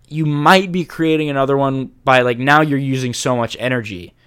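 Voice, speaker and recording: A man speaks in an American accent at a fairly high pitch. The recording is very clean, with a silent background. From Jacksonville, Florida. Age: 20s. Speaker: university student. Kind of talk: casual chat. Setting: studio with mics. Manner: loud, rowdy.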